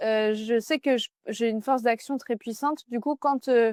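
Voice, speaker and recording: A woman talks loudly in a high pitch with ordinary pitch variation. The very clean recording has a silent background and a dry, close sound with no echo. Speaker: business coach. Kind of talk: interview.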